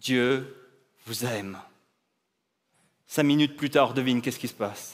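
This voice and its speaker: This man has a medium-pitched voice. His intonation stays fairly even. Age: 40s. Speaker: pastor. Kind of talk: inspirational talk.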